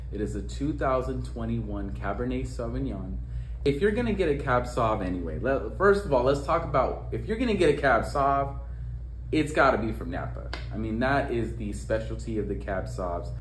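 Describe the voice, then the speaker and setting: A man is speaking. Light background noise and audible room echo are present. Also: moderate pace. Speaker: wine blogger. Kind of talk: casual vlog review. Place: home room.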